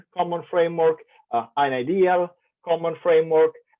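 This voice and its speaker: This man has a fairly high voice and an Italian accent. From Italy. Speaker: professor. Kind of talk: keynote lecture. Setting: online conference.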